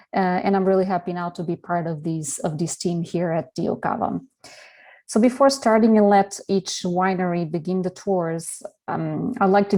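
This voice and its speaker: A woman's dark, mellow voice at a medium pitch, with a Portuguese accent and a moderate pace. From Portugal. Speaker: communications director. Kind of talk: presentation. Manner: halting, many fillers.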